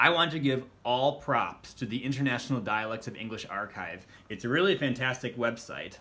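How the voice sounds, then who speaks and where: Speaking at a fairly quick pace, a man with an American accent uses a medium pitch, ordinary pitch variation and a bright, sharp tone. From US Midwest, Wisconsin. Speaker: actor and language tutorial host. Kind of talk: tutorial.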